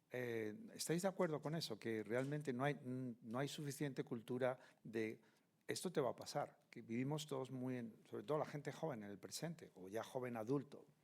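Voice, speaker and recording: An unremarkable speaking voice from a man at medium pitch, moderate pace and ordinary pitch variation. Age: 60s. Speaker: panel moderator. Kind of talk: panel discussion.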